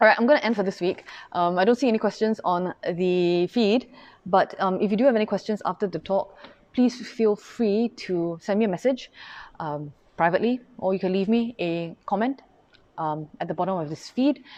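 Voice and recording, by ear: A woman at medium pitch with a slightly mellow tone, ordinary pitch variation and a moderate pace.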